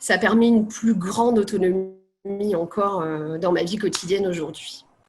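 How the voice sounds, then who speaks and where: Music behind a woman's medium-pitched voice with fairly even intonation. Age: 30s. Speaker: patient with cystic fibrosis. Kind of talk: testimony.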